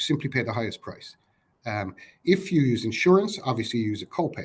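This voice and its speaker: A man's somewhat breathy voice, medium in pitch, with lively intonation. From Ireland, Cork. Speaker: company representative presenting. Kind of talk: webinar presentation. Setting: online webinar. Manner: fast.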